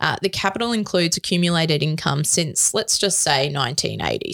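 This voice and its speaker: In an Australian accent, a woman speaks at a moderate pace with very wide pitch swings and vocal fry, the sound dry and close with no echo. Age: 30s. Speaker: tax lawyer podcast co-host. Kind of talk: educational chat.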